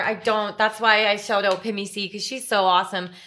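Bright and sharp in tone, a woman with a western Canadian accent speaks fairly quickly at a medium pitch on a very clean recording with a silent background. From western Canada (Alberta, from age seven). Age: 30s. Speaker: realtor and spin instructor. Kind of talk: casual chat.

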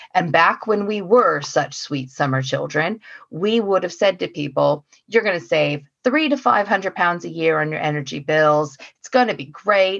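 A woman with an American accent and a normal speaking voice, fairly low in pitch, lively in intonation, at a moderate pace. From US, Oregon. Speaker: council energy officer. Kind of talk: casual chat.

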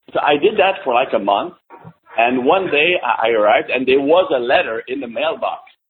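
A man speaks with a French Canadian accent. His pace is moderate. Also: long, frequent pauses. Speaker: podcast guest.

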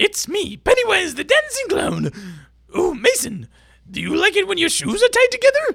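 A put-on character voice at an extremely high pitch, with long, frequent pauses. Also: moderate pace. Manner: menacing, creepy.

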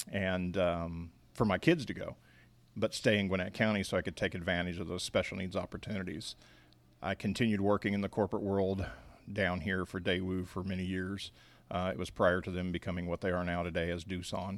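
A man with a very deep, low pitch speaks at a fairly quick pace in a monotone, flat intonation, on a very clean recording with a silent background. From Missouri, Kansas City area. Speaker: nonprofit bakery founder. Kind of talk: interview. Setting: at the bakery.

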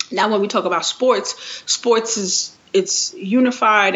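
A woman with a New York accent over noticeable background noise. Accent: New York City English. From New York City, Queens. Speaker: sports business and marketing professional. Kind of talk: interview.

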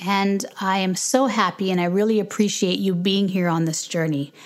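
A woman talks in a plain, everyday voice at a medium pitch. Her pace is moderate and her pitch variation ordinary. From Canada and Jamaica. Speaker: podcast host, homeschooling parent. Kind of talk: casual Q&A interview; casual closing remarks.

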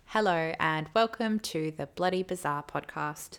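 A woman puts on a robotic character voice at a fairly low pitch. She speaks at a moderate pace on a very clean recording with a silent background. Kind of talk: podcast opener.

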